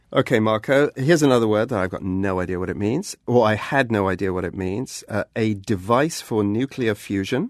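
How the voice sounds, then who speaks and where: In a dry, close sound with no echo and a quiet background, a man with an English accent talks at a fairly quick pace and fairly low pitch, with ordinary pitch variation and hardly any pauses. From England. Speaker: podcast host. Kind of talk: podcast narration and interview.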